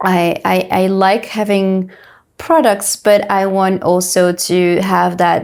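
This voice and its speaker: Very slow pace, fairly even intonation and very even loudness throughout. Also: woman, medium pitch for a woman. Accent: French. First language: French. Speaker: entrepreneur and health coach. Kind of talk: interview. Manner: halting, many fillers.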